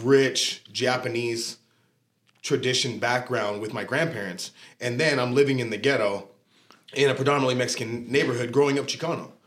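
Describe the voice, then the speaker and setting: This man speaks with an American accent at a moderate pace. His pitch is medium and his intonation fairly even. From Southern California, Oxnard area. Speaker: gym manager and entrepreneur. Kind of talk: casual interview.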